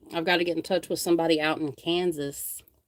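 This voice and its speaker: A woman speaks with a very deep, low pitch and a North Carolina accent. The recording is very clean with a silent background. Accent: Southern North Carolina. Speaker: paranormal investigator and live streamer. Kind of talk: casual live stream chat. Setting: live stream. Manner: rambling, conversational.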